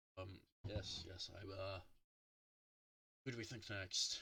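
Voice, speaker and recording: A man uses a put-on character voice at a fairly low pitch and a fairly slow pace. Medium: actual play. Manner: hesitant.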